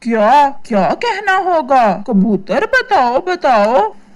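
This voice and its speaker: Using a cartoonish character voice, the speaker talks very slowly with very wide pitch swings. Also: female-sounding voice, high pitch for a woman. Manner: eager.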